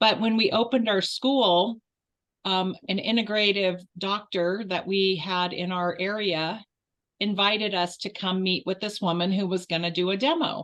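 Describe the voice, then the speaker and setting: A woman's unremarkable speaking voice, medium in pitch, at a moderate pace with fairly even intonation. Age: 60s. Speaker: martial arts and Qigong instructor. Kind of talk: interview. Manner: casual with fillers.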